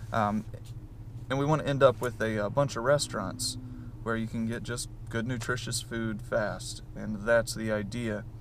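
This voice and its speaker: With a Southern US accent and vocal fry, a man at medium pitch talks at a moderate pace in a flat monotone. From US South. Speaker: vlogger, restaurant employee. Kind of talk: casual vlog. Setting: on the go, in stores. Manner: casual, with many fillers.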